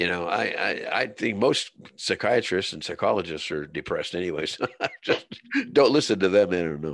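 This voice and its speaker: Over a quiet background, a man with a very deep, low pitch speaks at a moderate pace with lively intonation. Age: 70s. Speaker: Vietnam war veteran and writer. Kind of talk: casual interview chat. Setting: interview on a show.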